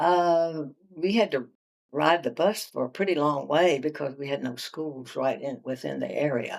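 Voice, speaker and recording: A woman's very deep, low voice with an American accent, vocal fry and ordinary pitch variation. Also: moderate pace. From Virginia, USA. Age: 80s+. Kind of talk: interview answer.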